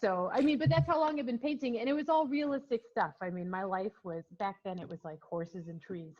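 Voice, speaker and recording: Hardly pausing, a woman moves at a fairly quick pace with a medium pitch. Her pitch swings very widely, and her loudness rises and falls in big swings. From Minnesota, US (early childhood in England). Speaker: painter. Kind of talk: interview.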